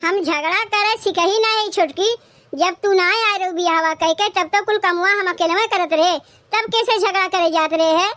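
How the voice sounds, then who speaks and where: Putting on a character voice, a woman speaks in a squeaky, extremely high pitch at a moderate pace, with fairly even intonation and very even loudness. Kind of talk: rustic village comedy. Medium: cartoon. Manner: grumbling, traditional.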